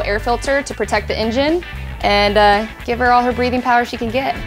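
Clear music plays in the background behind a woman. She speaks at a fairly quick pace with fairly even intonation. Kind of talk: casual sponsored vlog tour. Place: garage.

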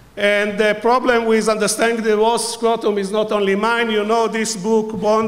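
Against noticeable background noise, a man with a high voice speaks at a moderate pace. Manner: humorous, playful.

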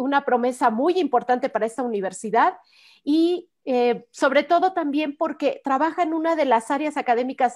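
Over a quiet background, a woman with a high-pitched voice talks at a moderate pace with lively intonation. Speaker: program host. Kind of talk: program introduction. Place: home room. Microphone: video call.

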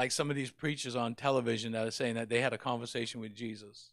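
Speech comes at a very fast pace with monotone, flat intonation over a quiet background. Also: man. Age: 60s. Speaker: pastor. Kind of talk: sermon. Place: church. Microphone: handheld.

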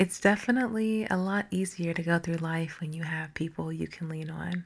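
Somewhat breathy delivery with fairly even intonation. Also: woman. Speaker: ASMR artist. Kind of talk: affirmations for sleep. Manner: soft-spoken, slow.

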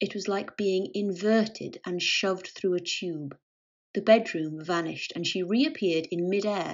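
Ordinary pitch variation in an unforced reading voice, quiet in the background

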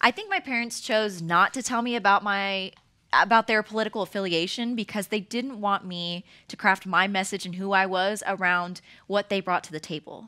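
A woman talks at a moderate pace with a bright, sharp tone and fairly even intonation. Her loudness swings a lot against a quiet background. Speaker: political activist. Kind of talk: panel discussion. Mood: earnest, reflective. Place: stage. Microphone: headset.

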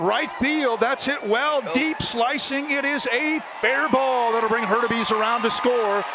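A man speaks in a raised, projected voice at an extremely high pitch, with lively intonation, a moderate pace and noticeable background noise. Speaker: baseball play-by-play announcer. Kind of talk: live sports commentary, highlight reel of baseball play-by-play. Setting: minor league ballpark broadcast, highlights video.

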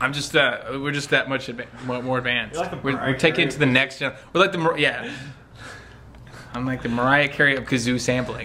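In a playful tone, a man speaks with fairly even intonation and long, frequent pauses against noticeable background noise. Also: moderate pace. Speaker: sample library developer. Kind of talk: casual humorous vlog chat. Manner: playful, joking. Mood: playful, mock-boastful. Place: studio. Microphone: phone near.

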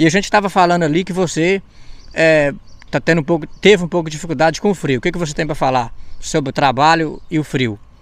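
The speech races at a very fast pace with ordinary pitch variation. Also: man, fairly high pitch for a man. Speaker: YouTuber interviewer. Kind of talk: casual interview chat.

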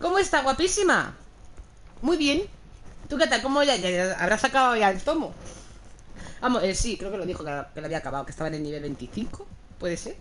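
A woman speaks in an animated tone at a fairly quick pace, with very wide pitch swings. Long, frequent pauses break up her speech over light background noise. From Spain. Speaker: video game streamer. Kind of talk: live gaming stream chat. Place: home room. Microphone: headset.

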